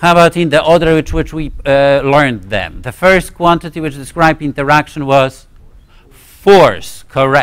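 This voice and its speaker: A man with a Polish accent, fairly high-pitched, at a moderate pace with ordinary pitch variation. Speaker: physics professor. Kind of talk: lecture. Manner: halting, many fillers and restarts.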